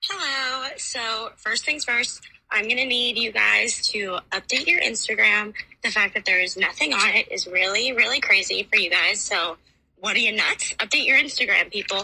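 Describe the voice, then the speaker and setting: Moderate pace, ordinary pitch variation, and a plain, everyday voice. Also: woman, fairly high pitch for a woman. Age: 20s. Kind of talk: voicemail question.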